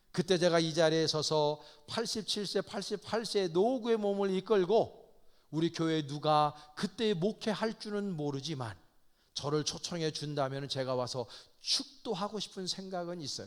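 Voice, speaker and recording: High in pitch, a man talks at a moderate pace with lively intonation. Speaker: pastor. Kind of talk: sermon.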